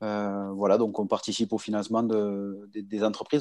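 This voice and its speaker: Someone talks at a moderate pace against a quiet background. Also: man. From Toulouse, France. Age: 30s. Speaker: business banker. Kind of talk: casual interview. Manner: halting, repeats words.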